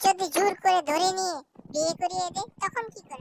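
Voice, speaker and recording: In a cartoonish character voice, a woman squeaks at an extremely high pitch. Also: moderate pace, big swings in loudness. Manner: insistent, melodramatic.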